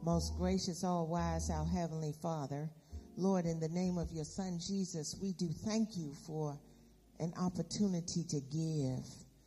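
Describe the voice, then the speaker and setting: This woman has a dark, mellow tone that is somewhat breathy. Her pitch is fairly low, with ordinary variation, at a fairly slow pace. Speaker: church announcer and prayer leader. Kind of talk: church announcements and prayer. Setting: church.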